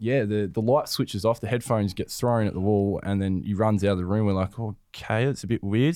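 A man speaks at a very fast pace with an Australian accent and fairly even intonation. The recording is very clean, with a silent background. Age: 20s. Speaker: professional footballer. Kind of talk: casual chat.

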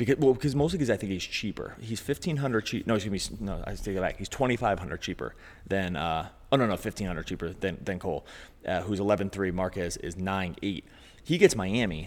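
Speaking very fast with lively intonation, a man with a fairly low voice and an American accent comes through on a very clean recording against a silent background. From Philadelphia, US. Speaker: fantasy sports podcast host. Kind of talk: casual chat.

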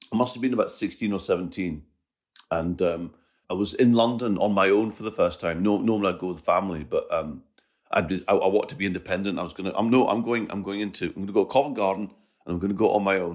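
A man with a Scottish accent speaks very fast in a fairly low pitch, with ordinary pitch variation. The recording is very clean, with a silent background. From Scotland. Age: 50s. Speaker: comedian. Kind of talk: casual chat.

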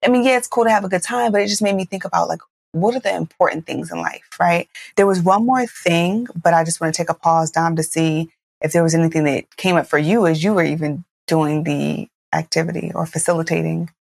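A woman speaks fairly quickly in a fairly low pitch with ordinary pitch variation. Hers is a normal speaking voice, recorded with a dry, close sound and no echo. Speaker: podcast host. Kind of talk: casual chat.

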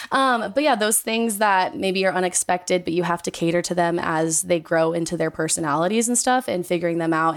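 A woman speaks in an ordinary speaking voice with a fairly low pitch and ordinary variation. The recording is very clean with a silent background. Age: 20s. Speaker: dog owner. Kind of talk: casual chat.

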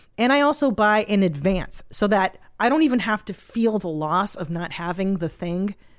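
In a very clean recording with a silent background, a woman speaks in an ordinary speaking voice at medium pitch, with lively intonation and a moderate pace. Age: 40s. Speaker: podcast host and comedian. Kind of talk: casual chat. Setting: studio.

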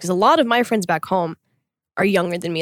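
A plain, everyday voice from a woman, medium in pitch, with lively intonation and a dry, close sound with no echo. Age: 20s. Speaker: podcast co-host. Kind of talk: casual chat.

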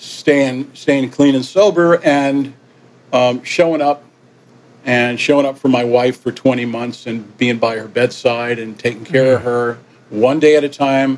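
With a New York accent, a man speaks fairly slowly at a medium pitch and with fairly even intonation. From New York (Yonkers), partly raised in Caribbean. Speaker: musician. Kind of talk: interview.

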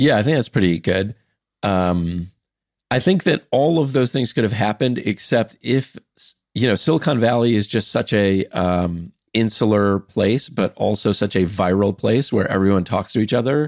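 A normal speaking voice with lively intonation and very even loudness at a moderate pace, on a very clean recording with a silent background and a dry, close sound without echo. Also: man, fairly low pitch for a man. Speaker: startup founder and investor. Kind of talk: casual chat.

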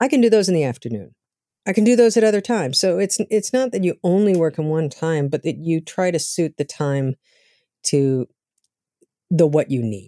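A woman with a dark, mellow tone swings very widely in pitch, pausing long and often, in a dry, close recording with no echo. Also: fairly low pitch for a woman, moderate pace. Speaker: novelist. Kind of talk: interview conversation. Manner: sounds authoritative.

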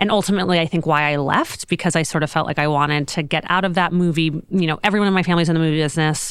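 Speaking very fast in a Californian accent, a woman has a fairly low pitch and very even loudness. The recording is very clean, with a silent background. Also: fairly even intonation, hardly any pauses. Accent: General American (California). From Los Angeles, US. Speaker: fashion executive and entrepreneur. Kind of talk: interview. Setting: studio.

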